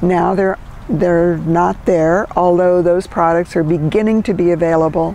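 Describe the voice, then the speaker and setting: Over noticeable background noise, a woman speaks at a fairly slow pace in a fairly low pitch, with monotone, flat intonation and very even loudness. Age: 70s. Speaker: minister. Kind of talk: interview.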